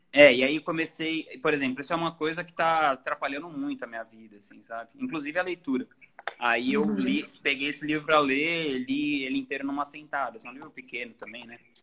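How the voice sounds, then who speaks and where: At a fairly quick pace, a man speaks at a fairly high pitch with ordinary pitch variation and big swings in loudness over noticeable background noise. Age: 30s. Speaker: author and musician. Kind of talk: casual interview.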